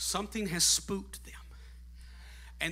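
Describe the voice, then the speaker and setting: A man's voice carries audible room echo. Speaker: guest preacher. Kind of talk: Pentecostal sermon, climactic call-and-response exhortation to the congregation; sermon illustration, storytelling. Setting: church with congregation. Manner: preaching at full volume, voice strained and going; fervent, shouting with rising, rhythmic repetition.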